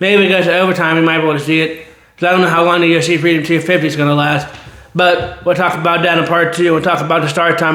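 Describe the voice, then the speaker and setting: With audible room echo, a man talks very fast in a high pitch and a monotone, flat intonation. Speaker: sports channel host. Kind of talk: casual sports commentary monologue. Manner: rambling, repetitive self-corrections.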